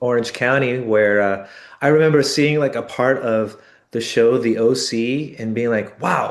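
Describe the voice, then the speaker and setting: With audible room echo, a man speaks slowly-ish at medium pitch, his intonation fairly even and his pace fairly slow. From Los Angeles. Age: 60s. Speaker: bass player in a band. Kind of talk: interview. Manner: halting, many fillers.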